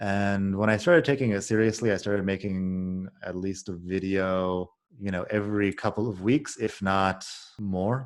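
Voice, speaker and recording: Over a quiet background, a man with a plain, everyday voice speaks at a fairly low pitch and a moderate pace with fairly even intonation. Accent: American. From United States. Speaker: YouTuber and English teacher. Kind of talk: casual interview conversation.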